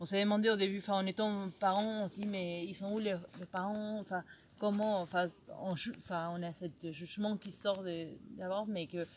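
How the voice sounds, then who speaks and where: Speaking with a Spanish accent, a woman talks at a medium pitch and a fairly slow pace, her intonation monotone and flat, with long, frequent pauses. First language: Spanish (speaking French). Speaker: youth ministry worker. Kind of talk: personal testimony. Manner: halting.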